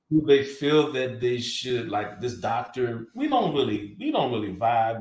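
A man's somewhat breathy, medium-pitched voice at a moderate pace. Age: 40s. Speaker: podcast co-host. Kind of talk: casual chat.

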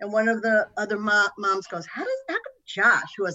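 With a normal speaking voice, a woman talks at a fairly quick pace in a medium pitch, her intonation lively. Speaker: host's mother. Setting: video call.

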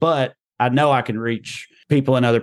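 Over a quiet background, a man speaks with a Southern US accent. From US South. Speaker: comedian. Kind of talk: interview.

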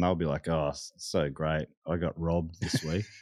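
Over a quiet background, a man with an Australian accent speaks at a moderate pace. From Melbourne, Australia (Moorabbin). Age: 30s. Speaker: comedian and podcaster. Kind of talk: casual chat.

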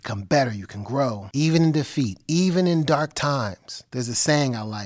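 A man with an American accent talks at a moderate pace with ordinary pitch variation in a plain, everyday voice. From New Jersey (Elizabeth). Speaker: podcast host. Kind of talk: solo monologue; casual interview.

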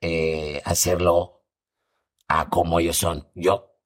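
Very slowly, a man speaks in a very deep, low voice. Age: 40s. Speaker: comedian and actor. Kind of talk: casual chat.

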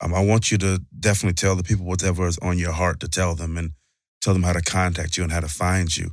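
The speaker talks very fast in a Southern US accent with monotone, flat intonation. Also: man, very deep, low pitch for a man. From US South, Mississippi. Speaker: podcast co-host. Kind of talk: casual chat. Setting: studio.

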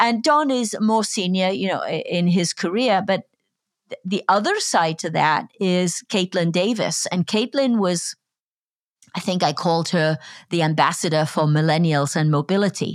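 Speaking at a moderate pace and medium pitch, a woman with a Welsh accent comes through on a very clean recording with a silent background and a dry, close sound with no echo. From Wales. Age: 50s. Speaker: podcast host. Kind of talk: interview.

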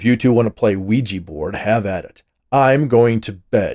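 A man uses a growling, put-on character voice at a moderate pace. His loudness swings widely. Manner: snarling, irritated.

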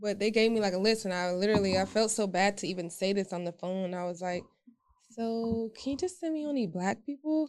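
Speaking in a plain, everyday voice, a woman talks at a medium pitch and a fairly quick pace with ordinary pitch variation. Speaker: podcast co-host. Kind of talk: casual podcast chat.

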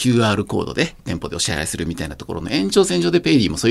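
The delivery is very fast. Pitch rises and falls over a very wide range. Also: man. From rural Japan. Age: 50s. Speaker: startup CEO. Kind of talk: interview.

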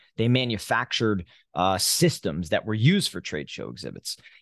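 A man with a New Jersey accent and a fairly low pitch, at a moderate pace, in a dry, close sound with no echo against a quiet background. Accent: New Jersey American. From US Northeast, New Jersey. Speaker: exhibit company CEO. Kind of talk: interview.

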